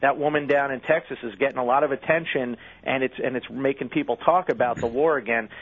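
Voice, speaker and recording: A man with an American accent has a plain, everyday voice at medium pitch. His intonation stays fairly even and his pace is fairly quick. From US Northeast. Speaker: magazine editor. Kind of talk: interview.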